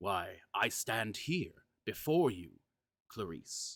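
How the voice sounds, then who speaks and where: A man does a put-on character voice at a fairly low pitch and a very slow pace. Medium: read story. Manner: seductive, gentle, intent.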